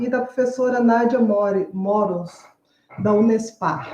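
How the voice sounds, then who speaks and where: A woman speaks at a fairly high pitch. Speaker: university theatre professor and researcher. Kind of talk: academic panel presentation. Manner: halting, many filler sounds.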